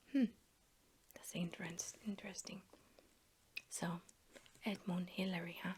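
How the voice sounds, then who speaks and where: Whispering, a woman sounds soft-spoken and somewhat breathy, with a relaxed tone. She leaves long, frequent pauses. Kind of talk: ASMR soft-spoken casual chat to camera while flipping a magazine. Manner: soft-spoken, whispery, relaxed.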